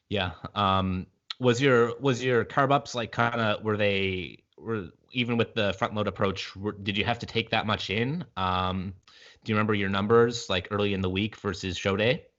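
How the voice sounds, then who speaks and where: A man's fairly low voice, with ordinary pitch variation, moves along at a moderate pace. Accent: Maritime Canadian. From Canada, Prince Edward Island. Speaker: podcast host. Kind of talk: podcast interview.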